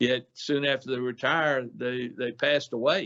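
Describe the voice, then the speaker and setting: In a Mississippi accent, a man talks at a medium pitch with fairly even intonation. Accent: US Southern (Mississippi). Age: 70s. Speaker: outdoor industry businessman, gun shop owner. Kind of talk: radio interview. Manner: halting, many fillers.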